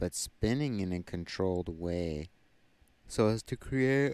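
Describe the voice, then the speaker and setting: Quiet and very slow, a man with a very deep, low pitch speaks with lively intonation. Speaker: tarot reader. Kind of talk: tarot reading. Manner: halting.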